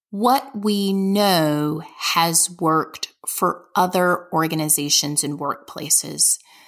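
Someone talks at a very slow pace with a Southern US accent, in a very clean recording with a silent background. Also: woman. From US South, Birmingham, Alabama. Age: 40s. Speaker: nonprofit development executive. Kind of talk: interview.

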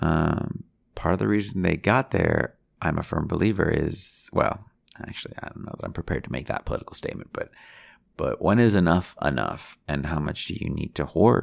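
Vocal fry runs through speech delivered at a fairly quick pace with lively intonation. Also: man, very deep, low pitch for a man. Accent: American. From Chicago. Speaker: podcast host. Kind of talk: casual solo monologue. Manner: unscripted, hesitant with fillers.

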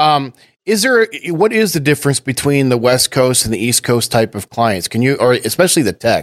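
The recording is very clean, with a silent background. A man speaks at a medium pitch with very wide pitch swings. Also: dry, close sound with no echo. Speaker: podcast host. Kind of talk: casual interview.

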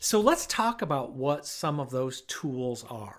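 A man with an American accent and lively intonation at a fairly slow pace, in a very clean recording with a silent background. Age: 50s. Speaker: professor and agricultural safety specialist. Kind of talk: educational talk.

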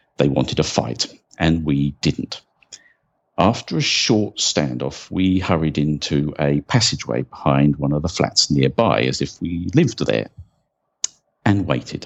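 With a southern English accent, a man speaks at a fairly slow pace in a very deep, low voice with vocal fry and lively intonation. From England, rural Sussex. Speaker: football fan and history presenter. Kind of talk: scripted narration.

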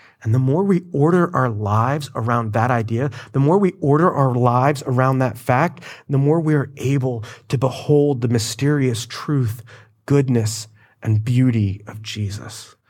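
In a room with audible echo, a man at a medium pitch speaks with an American accent and ordinary pitch variation. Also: moderate pace. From Florida. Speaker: pastor. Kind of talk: sermon.

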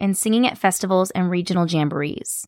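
Ordinary pitch variation with a General American accent over background music. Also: woman. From Sacramento, California. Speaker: podcast host and country singer. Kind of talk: scripted narration; casual interview.

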